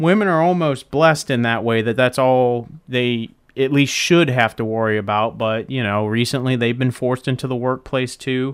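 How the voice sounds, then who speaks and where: A man has an ordinary speaking voice at a medium pitch, with ordinary pitch variation. He talks at a moderate pace with hardly any pauses. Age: 20s. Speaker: podcast host. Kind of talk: casual solo monologue. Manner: casual, filler-heavy.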